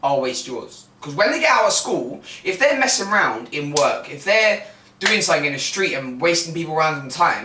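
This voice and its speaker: Loud and high-pitched, a man's voice makes very wide pitch swings amid noticeable background noise and audible room echo. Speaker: football coach and podcast co-host. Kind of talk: casual chat. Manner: animated.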